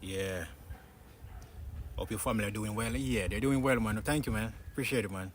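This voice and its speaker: A man's fairly low-pitched voice with a Jamaican accent. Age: 20s. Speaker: fitness YouTuber. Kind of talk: casual chat. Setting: outdoors. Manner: halting.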